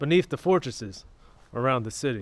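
The sound is dry and has no echo. A man's speech comes at a moderate pace. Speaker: travel vlogger. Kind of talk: casual vlog chat. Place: street. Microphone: phone near.

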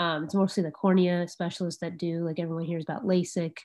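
Very fast speech from a woman with a fairly low pitch, against a quiet background. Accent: General American. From Arizona. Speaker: ophthalmologist; presenter. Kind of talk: lecture. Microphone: video call.

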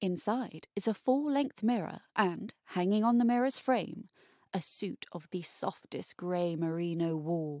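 On a very clean recording with a silent background, a woman with a normal speaking voice talks at a fairly slow pace and medium pitch, the sound dry and close with no echo. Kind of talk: bedtime story narration, reading aloud. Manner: slow, hushed, atmospheric storytelling.

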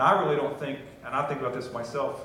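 Amid strong room echo, a man with an American accent talks fast at a medium pitch, his fairly bright tone showing ordinary pitch variation.

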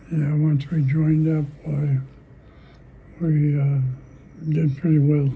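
A man with an American accent speaks in a fairly high voice at a very slow pace. His intonation is monotone and flat, with long, frequent pauses. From Indiana. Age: 80s+. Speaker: retired race driver and pilot. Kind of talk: interview answer. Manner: terse.

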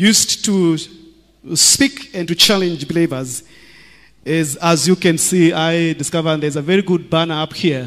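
A man talks at a fairly slow pace. His tone is fairly bright and his pitch fairly high.

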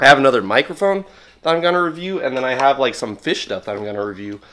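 Lively intonation and a bright, sharp tone mark this man's voice. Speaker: product reviewer. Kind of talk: casual product review vlog. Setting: at home. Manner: casual, filler-heavy.

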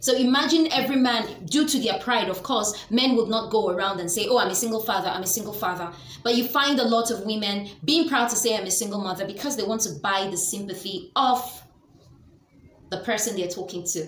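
Through audible room echo and light background noise, a woman with a Nigerian accent speaks at a fairly high pitch and fairly quick pace with lively intonation. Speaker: lifestyle vlogger. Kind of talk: educational talk to camera. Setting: home video recording. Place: home room. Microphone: webcam.

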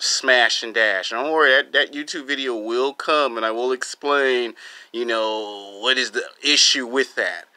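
A man with a bright, sharp tone speaks at a fairly slow pace. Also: quiet background. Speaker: vlogger. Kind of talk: casual vlog chat. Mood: relaxed, joking. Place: home room. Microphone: phone near.

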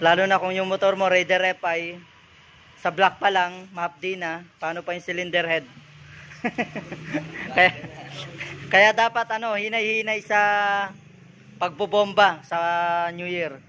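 With long, frequent pauses, a man projects a raised voice at a fairly slow pace and fairly even intonation. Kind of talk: casual vlog commentary. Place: garage. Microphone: phone near.

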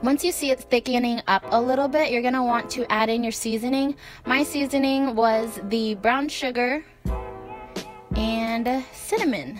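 Music plays in the background as a woman speaks at a moderate pace with ordinary pitch variation. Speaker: vegan food vlogger. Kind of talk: casual recipe talk to camera.

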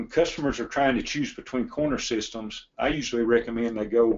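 With a Tennessee accent, a man talks at a moderate pace in a medium pitch, keeping his intonation fairly even. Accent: Southern US (Tennessee). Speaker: log home company executive. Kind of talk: webinar presentation. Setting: online webinar from his office. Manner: halting.

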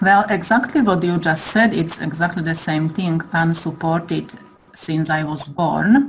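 Over noticeable background noise, a woman speaks at a fairly slow pace with fairly low pitch and ordinary pitch variation. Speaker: listener. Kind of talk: Q&A session. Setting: online call.

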